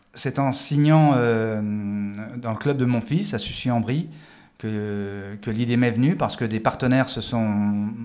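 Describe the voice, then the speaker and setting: A man of medium pitch talks at a very slow pace with long, frequent pauses and ordinary pitch movement. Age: 50s. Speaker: former police tactical officer and judoka. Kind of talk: interview. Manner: halting, with frequent repetitions.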